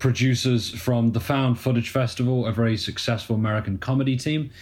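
The recording is very clean, with a silent background. A man with a medium pitch speaks in a British accent. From UK. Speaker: documentary filmmaker. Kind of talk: casual chat.

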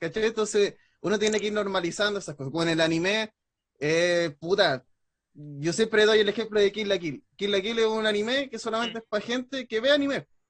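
In a Chilean accent, a man with a high voice talks at a fairly quick pace with ordinary pitch variation. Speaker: wrestling and anime content creator. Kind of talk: casual chat.

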